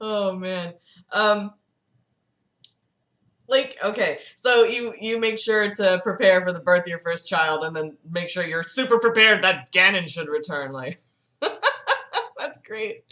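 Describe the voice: Speaking slowly with long, frequent pauses, a woman at medium pitch uses lively intonation and a bright, sharp tone.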